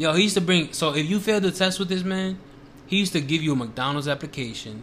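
A man speaks with an American accent in a plain, everyday voice. His intonation is lively and his pace fairly quick. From Washington Heights, New York. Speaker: guest filling in as co-host. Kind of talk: casual banter.

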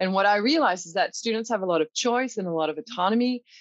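Very fast speech with a Quebec accent and ordinary pitch variation, in a dry, close sound with no echo. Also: woman. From Quebec, Canada. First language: French. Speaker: college professor, language teacher. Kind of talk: interview conversation.

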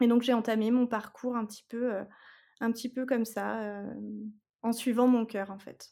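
Fairly high yet dark and mellow in tone, a woman's voice holds a monotone, flat intonation while her loudness swings widely. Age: 30s. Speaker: guest sharing fertility journey. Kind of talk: testimony. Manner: hesitant, many fillers.

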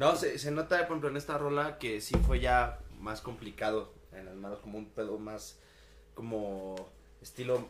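A man of medium pitch speaks fairly slowly with lively intonation and big swings in loudness. Audible room echo surrounds his voice. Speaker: podcast co-host. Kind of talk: casual chat. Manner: stammering at times.

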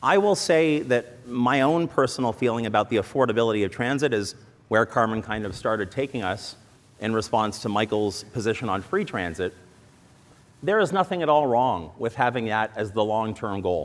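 Here a man uses a plain, everyday voice at a medium pitch. His intonation is lively and his pace moderate. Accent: Canadian. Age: 40s. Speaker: political candidate. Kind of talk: political debate. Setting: stage with audience.

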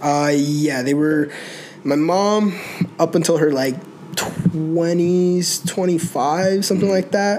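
A man with a high voice speaks very slowly at a very even volume, his intonation fairly even over noticeable background noise. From North Carolina, Mexican-American family. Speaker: podcast guest. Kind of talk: casual chat.

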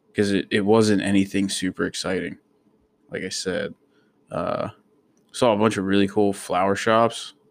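A man with an American accent, at a moderate pace with long, frequent pauses, on a very clean recording with a silent background. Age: 20s. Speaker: podcaster, soldier. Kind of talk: casual monologue. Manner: rambling with many fillers.

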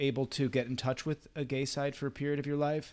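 In a very clean recording with a silent background, a man uses a plain, everyday voice at medium pitch and a fairly quick pace. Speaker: interviewer. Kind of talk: interview conversation.

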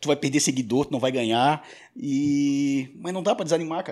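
A man with a normal speaking voice, fairly high in pitch and fairly quick, on a very clean recording with a silent background. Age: 40s. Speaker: radio and podcast producer. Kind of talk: casual chat.

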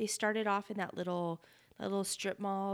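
On a very clean recording with a silent background, a woman with an American accent speaks in a flat monotone. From Northern Nevada. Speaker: podcast co-host. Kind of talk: casual chat.

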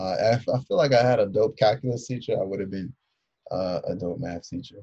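A man with an American accent speaks at a moderate pace and medium pitch with lively intonation. His tone is dark and mellow, and somewhat breathy. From Philadelphia, US. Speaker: high school teacher. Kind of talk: casual interview.

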